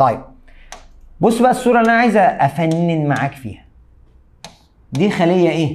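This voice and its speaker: A man with a fairly high voice speaks in an animated tone, his pitch swinging very widely. He leaves long, frequent pauses. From Egypt. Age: 30s. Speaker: biology teacher. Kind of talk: lecture. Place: studio.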